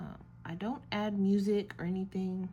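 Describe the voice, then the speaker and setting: Soft-spoken and somewhat breathy, a woman talks in a dark, mellow tone. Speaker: art YouTuber painting while chatting. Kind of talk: casual chat while painting. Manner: relaxed, with many filler ums. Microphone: may be too quiet, listeners may need to turn volume up.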